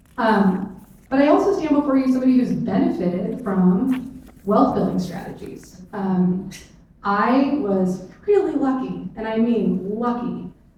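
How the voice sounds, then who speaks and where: In a West Coast accent, a woman with a fairly high pitch speaks at a fairly slow pace, with audible room echo and noticeable background noise. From US Pacific Northwest, rural Clark County, Washington. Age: 40s. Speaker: state legislator. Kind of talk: panel discussion. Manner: casual with many fillers.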